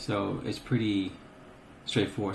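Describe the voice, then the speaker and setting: The man's voice is somewhat breathy. Audible room echo surrounds it. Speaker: gaming tutorial youtuber. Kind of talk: screen-recorded tutorial. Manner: casual with many fillers.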